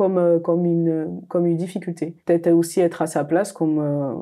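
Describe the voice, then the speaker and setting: A woman's dark, mellow tone at a fairly low pitch. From Mayotte. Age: 30s. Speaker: architect. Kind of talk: interview. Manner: hesitant, many fillers.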